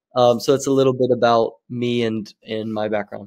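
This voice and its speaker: This is a man with an ordinary speaking voice, medium in pitch. His intonation is fairly even and his pace moderate. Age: 20s. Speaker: social media marketing agency founder. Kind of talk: podcast interview. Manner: casual.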